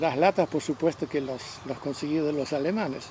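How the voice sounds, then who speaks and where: Noticeable background noise runs under a man speaking at a moderate pace. His voice is fairly high in pitch, and his intonation stays fairly even. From Belgium, Ghent. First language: French (speaking Spanish). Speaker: interviewee recounting life story. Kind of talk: interview, life story. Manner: halting, with repetitions.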